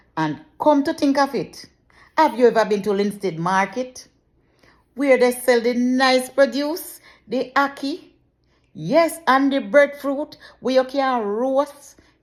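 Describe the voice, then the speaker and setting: Speaking very slowly with long, frequent pauses, a woman with a Jamaican accent uses a high pitch and lively intonation. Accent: speaks Jamaican patois. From Jamaica, Saint Catherine. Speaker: journalist, mother. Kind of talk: casual talk to camera.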